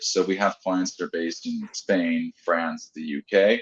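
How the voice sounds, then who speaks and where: A man speaks with an American accent. The sound is dry and close, with no echo. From United States. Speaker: tax firm professional. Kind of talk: webinar discussion.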